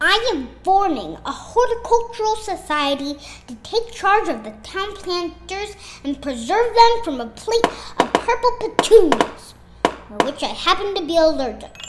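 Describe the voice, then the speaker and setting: A woman speaks at a moderate pace in an extremely high pitch with very wide pitch swings. Loud background noise runs behind her. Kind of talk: comic overacting. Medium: audio drama. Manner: pompous, theatrical.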